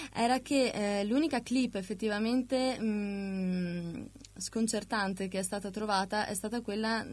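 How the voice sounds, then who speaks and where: Speaking at a fairly slow pace, a woman has a plain, everyday voice with a medium pitch and fairly even intonation. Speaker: art student. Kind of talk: casual radio chat. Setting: studio.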